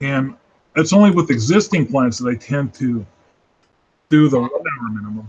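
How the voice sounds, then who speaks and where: Speaking at a moderate pace with lively intonation, a man at a medium pitch leaves long, frequent pauses. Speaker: freelance illustrator hosting a live sketch hangout. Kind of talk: casual chat.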